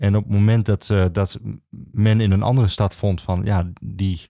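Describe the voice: A man's dark, mellow, fairly low voice with vocal fry, fairly even intonation and a moderate pace, on a very clean recording with a silent background.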